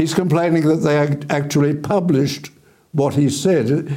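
A man's dark, mellow voice with an Australian accent, very even loudness and audible room echo. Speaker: TV current affairs host. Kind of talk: interview.

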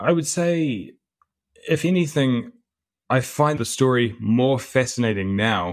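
This man talks with a New Zealand accent and ordinary pitch variation. The recording is very clean, with a silent background. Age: 30s. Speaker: author and historian. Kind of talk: interview. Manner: halting, frequent repetitions.

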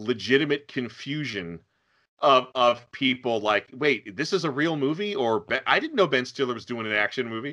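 A man's bright, sharp voice at a moderate pace, with lively intonation and a quiet background. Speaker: podcast host. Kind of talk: casual chat.

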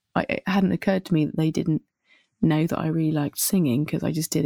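With a southern English accent, a woman talks very fast in a very deep, low voice of dark, mellow tone and ordinary pitch variation, the sound dry and close with no echo on a very clean recording with a silent background. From southern England (Winchester). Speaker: singer-songwriter. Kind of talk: casual interview.

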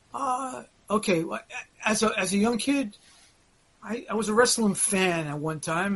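A man in an American accent at a moderate pace, amid noticeable background noise. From Brooklyn, New York. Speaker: wrestling veteran. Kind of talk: casual interview chat.

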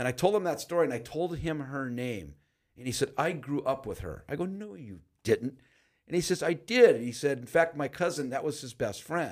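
A man with an American accent speaks in a normal speaking voice, fairly high in pitch, at a moderate pace. His intonation is lively, his loudness swings widely, and the recording is very clean with a silent background. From Los Angeles, San Fernando Valley. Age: 60s. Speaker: jail chaplain. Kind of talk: interview, personal testimony.

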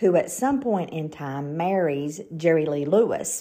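With a Southern US accent, a woman speaks at a fairly slow pace in a fairly low pitch, her tone dark and mellow and her intonation lively. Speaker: podcast host. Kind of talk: scripted-style podcast narration with casual chat.

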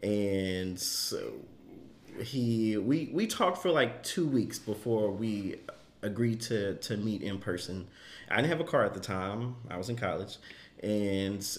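A man with an unremarkable speaking voice talks at a fairly slow pace. His fairly low pitch carries lively intonation. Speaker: podcast host. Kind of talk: casual chat.

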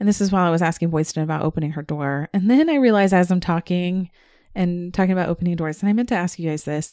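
A woman with an American accent talks at a very fast pace in a fairly low pitch. Her tone is dark and mellow, and the recording is very clean with a silent background. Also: ordinary pitch variation. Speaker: podcast co-host, amateur ghost investigator. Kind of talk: casual chat.

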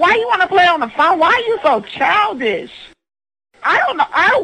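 At a moderate pace, a woman speaks in a raised, projected voice with an extremely high pitch. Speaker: prank call recipient. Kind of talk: heated phone argument. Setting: phone call. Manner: loud.

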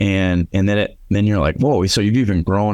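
A man's very deep, low-pitched voice on a very clean recording with a silent background. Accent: Upper Midwest. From South Dakota, Aberdeen. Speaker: restaurant franchise owner. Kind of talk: interview.

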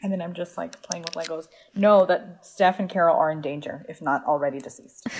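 A woman's voice at a fairly quick pace against noticeable background noise. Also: ordinary pitch variation, big swings in loudness. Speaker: podcast guest. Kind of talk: casual chat.

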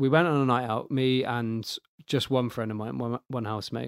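This man has an unremarkable speaking voice at a medium pitch. He talks at a fairly quick pace. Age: 20s. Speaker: single dating guest, race engineer. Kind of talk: casual interview chat.

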